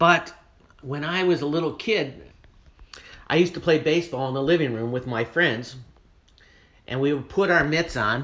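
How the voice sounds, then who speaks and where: This man has a fairly high voice and a Midwestern American accent. He leaves long, frequent pauses. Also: ordinary pitch variation, moderate pace. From Ohio, Cleveland area. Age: 60s. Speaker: art gallery owner. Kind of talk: casual chat. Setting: at home. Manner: casual, with hesitations.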